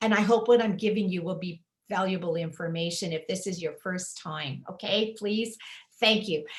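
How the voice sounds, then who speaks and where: With a Canadian accent, a woman speaks at medium pitch and a moderate pace, somewhat breathy, with fairly even intonation. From Manitoba, Canada. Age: 70s. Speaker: retired teacher selling health products. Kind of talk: sales pitch. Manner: casual, conversational.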